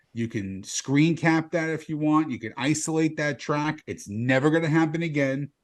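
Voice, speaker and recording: A man speaks in a plain, everyday voice at a moderate pace. His pitch varies in an ordinary way, and the background is quiet. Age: 40s. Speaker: comedian, podcast co-host. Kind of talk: casual chat.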